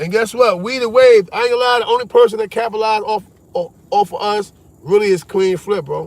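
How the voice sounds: A man speaks with a high voice. His pace is fairly quick. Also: ordinary pitch variation.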